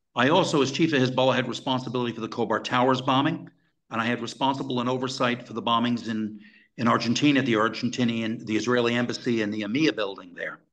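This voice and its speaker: A man at a very fast pace, medium in pitch. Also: fairly even intonation. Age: 60s. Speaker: former intelligence officer. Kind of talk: interview.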